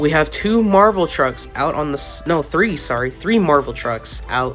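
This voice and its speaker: A man speaks fairly slowly, with music playing behind him. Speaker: toy monster truck race commentator. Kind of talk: sports-style play-by-play commentary.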